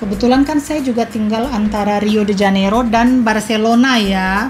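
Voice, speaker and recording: Over music in the background, a woman with a slight Makassar accent speaks at a fairly high pitch, with fairly even intonation and very even loudness. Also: moderate pace. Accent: slight Makassar tinge in her Indonesian. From Indonesia. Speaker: podcast host. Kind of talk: casual chat. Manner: halting.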